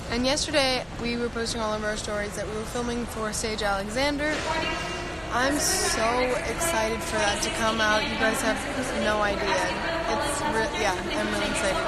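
Loud background noise surrounds a woman speaking at a moderate pace. The sound itself is dry with no echo. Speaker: live streamer. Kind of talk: casual vlog chat. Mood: cheerful, excited. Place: station. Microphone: phone near.

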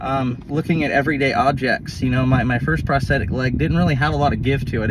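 Over loud background noise, a man at a medium pitch talks at a very fast pace with hardly any pauses, the sound dry with no echo. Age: 30s. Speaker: amputee vlogger. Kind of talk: casual vlog monologue. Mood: reflective, a bit worked up. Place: car. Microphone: phone near.

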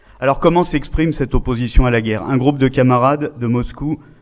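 A man talks fairly quickly with normal pitch movement, the background around him quiet. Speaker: newspaper international editor. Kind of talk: political rally speech. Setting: stage with audience. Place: hall. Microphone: headset.

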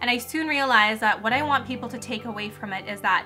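Clear music plays in the background. Over it, a woman talks at a fairly quick pace with ordinary pitch variation. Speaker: youtuber. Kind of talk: casual vlog chat. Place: home room.

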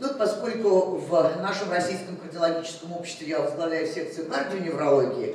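A woman's voice with ordinary pitch variation, audible room echo and light background noise. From Russia. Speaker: cardiology professor. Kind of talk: medical conference lecture. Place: hall.

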